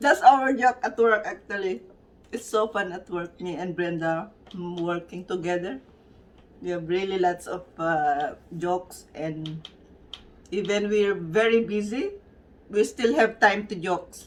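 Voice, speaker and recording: With a Filipino accent, a woman reads at a fairly slow pace with long, frequent pauses, ordinary pitch variation and big swings in loudness. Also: medium pitch for a woman. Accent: Filipino accent, noticeable. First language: Tagalog. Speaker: vlogger. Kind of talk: casual vlog chat. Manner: halting.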